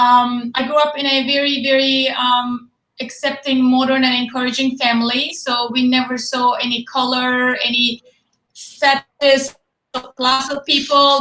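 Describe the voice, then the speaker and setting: Raised and projected, a woman's high-pitched voice has a bright, sharp tone and a flat monotone at a moderate pace. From Turkey. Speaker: fitness and nutrition expert. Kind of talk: interview. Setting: Facebook live video call.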